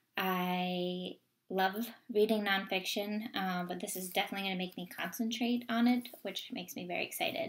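A woman with an American accent speaks at a medium pitch and a moderate pace, somewhat breathy, her intonation fairly even but her loudness swinging widely. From US, Vermont. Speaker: book vlogger. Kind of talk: casual vlog monologue. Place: home room. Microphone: webcam.

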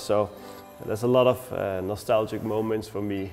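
Faint music plays in the background. A man speaks at a fairly low pitch. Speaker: florist instructor. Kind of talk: tutorial. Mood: warm, nostalgic. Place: studio. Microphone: lapel.

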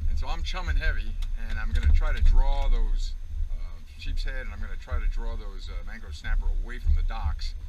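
A man rattles along at a very fast pace while music plays in the background. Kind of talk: casual vlog chat. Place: boat. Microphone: camera far.

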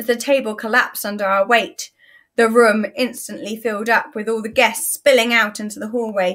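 In a natural reading voice with fairly even intonation, the speaker reads over a quiet background.

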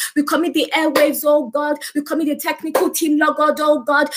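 Over a quiet background, a woman speaks very fast in a high pitch. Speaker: service leader. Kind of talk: opening worship and prayer. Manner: fervent. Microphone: webcam.

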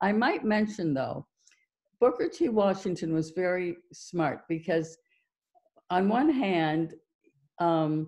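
A woman's dark, mellow voice with an American accent, ordinary pitch variation and a very slow pace against a quiet background. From US Midwest. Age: 70s. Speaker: documentary filmmaker. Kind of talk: Q&A discussion. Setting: video call. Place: home room. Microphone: video call.

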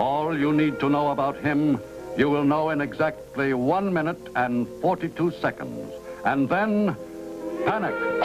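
The speech moves at a fairly slow pace with lively intonation. Music plays in the background. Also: man, fairly high pitch for a man. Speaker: narrator. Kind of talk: TV drama narration. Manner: dry, methodical.

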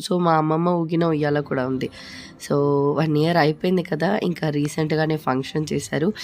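Against light background noise, a woman with a very deep, low pitch talks with fairly even intonation and very even loudness. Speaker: family vlogger. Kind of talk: casual talk to camera. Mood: fond, remembering late grandfather. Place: home room. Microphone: phone near.

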